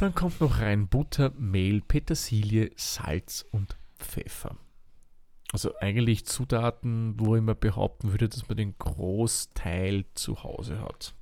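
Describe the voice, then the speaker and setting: A man with an Austrian accent speaks very slowly in a dark, mellow tone with ordinary pitch variation, on a very clean recording with a silent background. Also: fairly low pitch for a man. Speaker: cooking podcast host. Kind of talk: casual chat and recipe explanation.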